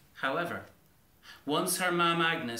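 A man talks with a bright, sharp tone and lively intonation. Strong echo fills the room around him.

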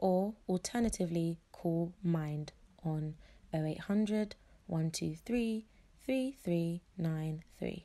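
A woman speaks with a British accent at a fairly low pitch. Her tone is dark and mellow, and her pitch varies in an ordinary way. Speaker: podcast host. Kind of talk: casual interview.

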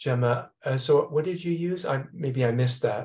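With fairly even intonation, a man speaks in a somewhat breathy voice. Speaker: event organizer and moderator; host of an online calligraphy talk series. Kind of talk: moderating an online talk. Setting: video call. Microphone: video call.

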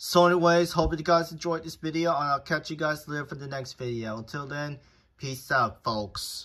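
With a quiet background, delivery holds a moderate pace. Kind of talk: casual vlog chat. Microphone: phone near.

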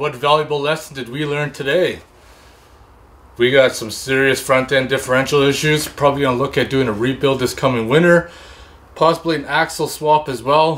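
Here a man talks at a fairly quick pace with fairly even intonation. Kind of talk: tutorial wrap-up. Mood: calm, slightly concerned. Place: workshop. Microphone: camera far.

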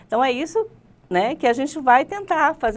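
Her pitch swings very widely as she talks at a moderate pace. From Rondônia, Brazil (moved from Paraná as a child); Rondônia, Brazil. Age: 50s. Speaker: teacher and political candidate; teacher interview guest. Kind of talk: interview. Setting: studio. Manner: halting. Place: studio.

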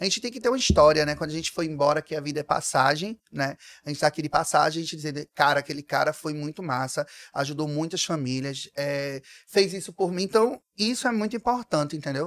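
Against a quiet background, a man with a fairly high pitch talks at a very fast pace with lively intonation, the sound dry with no echo. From Brazil, Pernambuco (Pojuca); Pernambuco, Brazil. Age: 30s. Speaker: artist manager and influencer; influencer. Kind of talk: interview. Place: studio. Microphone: studio mic.

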